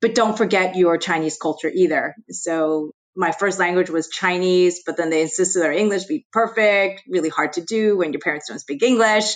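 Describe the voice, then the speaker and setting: A woman with an American accent talks at a moderate pace. Her pitch is medium, with ordinary variation. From US Northeast, New Jersey. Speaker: investment executive. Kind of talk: interview.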